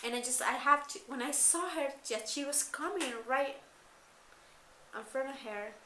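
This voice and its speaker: A raised, projected voice with a non-native accent, broken by long, frequent pauses. Noticeable background noise and audible room echo fill the recording. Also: woman, high pitch for a woman, ordinary pitch variation, moderate pace. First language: not English. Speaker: school coordinator vlogger. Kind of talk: personal vlog. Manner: halting.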